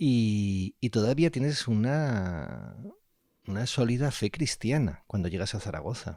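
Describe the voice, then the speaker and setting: A man's dark, mellow tone with lively intonation at a fairly slow pace. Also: medium pitch for a man, very clean recording, silent background. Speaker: radio interviewer, host. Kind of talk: radio interview questions.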